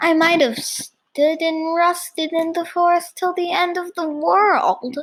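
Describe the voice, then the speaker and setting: A woman puts on a character voice with an extremely high pitch, speaking at a fairly slow pace. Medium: read story.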